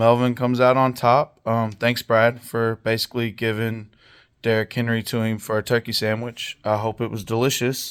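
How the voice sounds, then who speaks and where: A man talks at a moderate pace in a medium pitch with monotone, flat intonation. The recording is very clean, with a silent background and a dry, close sound with no echo. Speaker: fantasy football league commissioner. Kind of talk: casual recap video. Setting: home basement. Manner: casual with many fillers.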